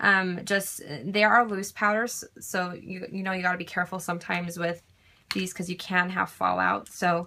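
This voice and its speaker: Speaking at a moderate pace, a woman uses a bright, sharp tone at a fairly low pitch, her intonation fairly even. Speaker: beauty vlogger. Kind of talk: tutorial. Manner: many filler ums.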